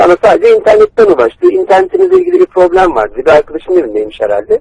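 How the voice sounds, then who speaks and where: A man talking at a very fast pace, in a dry, close sound with no echo. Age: 30s. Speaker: computer repair technician. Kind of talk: phone call, prank victim pleading. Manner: halting.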